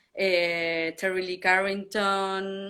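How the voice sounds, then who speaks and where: Speaking very slowly in a Spanish accent, a woman uses a bright, sharp tone at a medium pitch with monotone, flat intonation. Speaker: drummer. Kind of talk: interview. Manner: halting.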